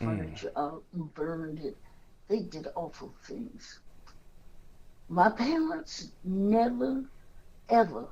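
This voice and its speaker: In an American accent, a woman speaks very slowly at a medium pitch with a dark, mellow tone, vocal fry, very wide pitch swings and long, frequent pauses. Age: old. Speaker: activist. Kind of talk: interview answer.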